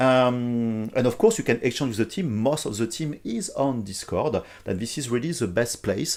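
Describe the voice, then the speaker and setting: A man speaks with a strong French accent. His pitch sits in the medium range. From France. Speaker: software company CEO. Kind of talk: live stream tutorial. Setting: live stream, not in the office. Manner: hesitant, many fillers.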